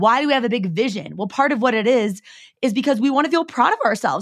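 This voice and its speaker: Speaking with a West Coast American accent, a woman uses a high pitch and lively intonation. Her pace is fairly quick. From US Pacific Northwest, Seattle. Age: 30s. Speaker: podcast host and entrepreneur. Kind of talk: heartfelt solo pep talk, confiding like a girlfriend. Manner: casual, filler-heavy with frequent 'like'; warm, earnest and encouraging, reflective inner-monologue questioning.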